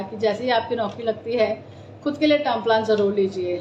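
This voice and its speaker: Delivered at a moderate pace with ordinary pitch variation, the speech sits over noticeable background noise. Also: woman. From Delhi, India. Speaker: insurance advisor. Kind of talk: live stream talk. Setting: live stream.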